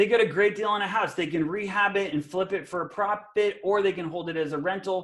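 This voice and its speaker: Talking very fast with hardly any pauses, a man speaks in a high pitch. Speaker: real estate investor and coach. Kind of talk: webinar presentation. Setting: live webinar video call. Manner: animated.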